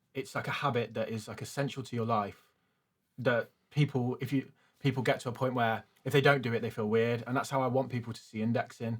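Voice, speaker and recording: A man at a medium pitch with a British accent, fairly quick and fairly even in intonation, on a very clean recording with a silent background. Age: 30s. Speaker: finance youtuber. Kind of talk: casual interview.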